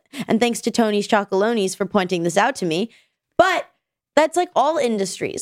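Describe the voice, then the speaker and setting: A woman speaks fairly quickly with very wide pitch swings. Her sound is dry and close, with no echo. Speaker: podcast co-host. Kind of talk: casual chat. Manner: talks over partner, chatty.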